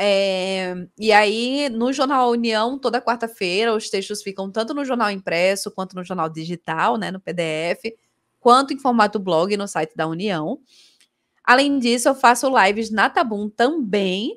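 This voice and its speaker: A woman speaks at a fairly slow pace with lively intonation and a fairly high pitch. The recording is very clean, with a silent background. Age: 30s. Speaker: streamer and cultural journalist. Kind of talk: casual chat. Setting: live video stream.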